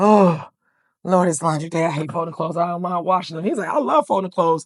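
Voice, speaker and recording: A woman's very fast delivery at a fairly low pitch, with ordinary pitch variation. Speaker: podcast guest. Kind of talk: casual chat.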